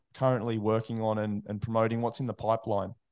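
A man speaks with an Australian accent. The background is quiet. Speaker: podcast host. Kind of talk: casual interview chat; scripted intro reading.

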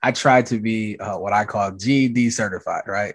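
A man with an American accent speaks in a normal speaking voice at a medium pitch and moderate pace against a quiet background. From US Midwest (Minneapolis), Southern parents. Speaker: diversity consultant, executive coach, speaker. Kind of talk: podcast interview.

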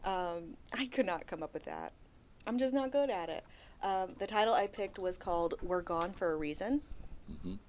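Medium pitch, ordinary pitch variation and a moderate tempo from a woman. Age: 20s. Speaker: podcast co-host. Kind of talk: casual chat; reading aloud.

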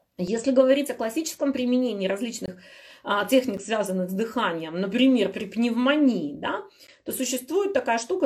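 With a fairly high pitch, a woman speaks in an animated tone with lively intonation. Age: 40s. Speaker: health blogger. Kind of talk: live stream Q&A.

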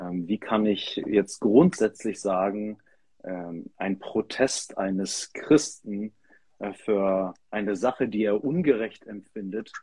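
Speaking very slowly, a man uses a fairly low pitch with ordinary pitch variation. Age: 30s. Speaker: pastor. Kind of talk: casual discussion.

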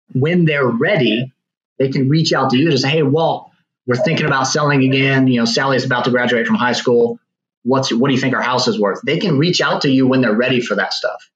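A man with an unremarkable speaking voice talks at a fairly quick pace and medium pitch, with ordinary pitch variation and very even loudness. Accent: American. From Virginia. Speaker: real estate agent. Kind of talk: podcast interview.

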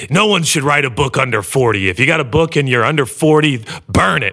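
A man puts on a raspy character voice at a medium pitch. His intonation is lively and his pace fairly quick.

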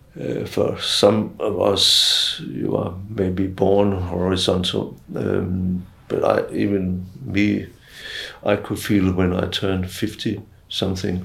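A man speaks with vocal fry at a fairly low pitch. His intonation is fairly even. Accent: Danish. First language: Danish. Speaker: retired professor of global health, doctor. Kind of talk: interview.

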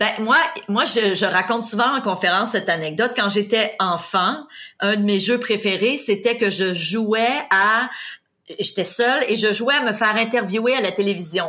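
Energetic in tone, a woman speaks at a fairly high pitch and a fairly slow pace, with ordinary pitch variation and very even loudness, in a very clean recording with a silent background. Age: 50s. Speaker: real estate investor and trainer. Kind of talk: interview.

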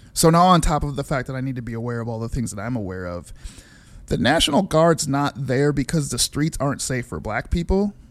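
A plain, everyday voice carries lively intonation. The recording is very clean with a silent background. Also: man, medium pitch for a man. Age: 40s. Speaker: musician. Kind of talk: casual chat.

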